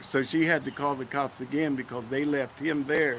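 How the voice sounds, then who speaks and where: At a fairly slow pace, a man speaks in a fairly high voice with fairly even intonation. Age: 60s. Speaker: interviewee recounting police arrest. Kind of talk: testimony.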